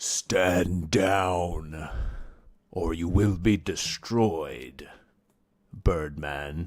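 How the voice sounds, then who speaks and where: In a put-on character voice, a man booms with a raspy, very deep, low pitch, going very slowly with long, frequent pauses on a very clean recording with a silent background. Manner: booming, commanding.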